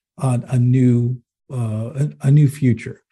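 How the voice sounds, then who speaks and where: A man at medium pitch speaks in a dark, mellow, somewhat breathy tone over a quiet background. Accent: American. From US Northeast, Manchester, New Hampshire. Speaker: business executive and author. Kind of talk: interview.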